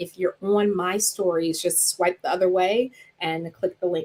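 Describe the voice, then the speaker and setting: A woman speaks with a Southern US accent at a moderate pace. Her pitch is fairly low and her intonation fairly even. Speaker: clinical psychologist. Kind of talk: live stream talk.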